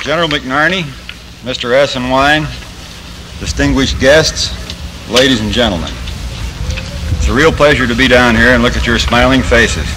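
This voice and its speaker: A man with an American accent speaks with long, frequent pauses over noticeable background noise. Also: moderate pace. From Pennsylvania, US. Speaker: Air Force general, speaker; speaker. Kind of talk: formal ceremonial address. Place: factory.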